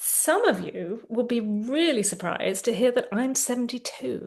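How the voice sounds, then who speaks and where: A high-pitched woman's voice with lively intonation and big swings in loudness. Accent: London. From England, London. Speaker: therapist. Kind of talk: guided tapping session. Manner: slow, phrase-by-phrase prompting.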